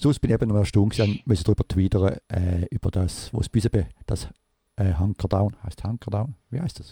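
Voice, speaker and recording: The voice is dark and mellow, somewhat breathy, at a fairly quick pace. The sound is dry and close, with no echo. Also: man, fairly low pitch for a man, ordinary pitch variation. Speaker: podcast host. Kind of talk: casual chat. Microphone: new recording device.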